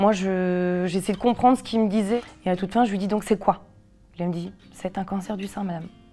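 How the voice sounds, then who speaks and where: At a middling speed, a woman keeps a mid-range pitch and fairly level intonation. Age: 30s. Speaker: cancer patient sharing her story. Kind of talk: testimony. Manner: halting, many fillers.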